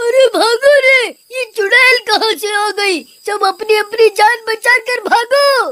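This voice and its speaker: A cartoonish character voice at an extremely high pitch and a fairly slow pace. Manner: panicked, comic.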